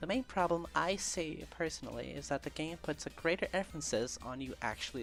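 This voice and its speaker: Music plays in the background. The speaker talks at a fairly quick pace with a non-native accent. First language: not English. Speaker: video essay narrator, gamer. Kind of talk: scripted video essay narration. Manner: some stumbles and stutters.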